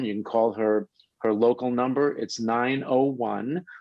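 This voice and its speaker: A man with a New York accent speaks at a moderate pace and medium pitch. The sound is dry and close with no echo, and his pitch varies in an ordinary way. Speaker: health radio show host. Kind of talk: interview introduction.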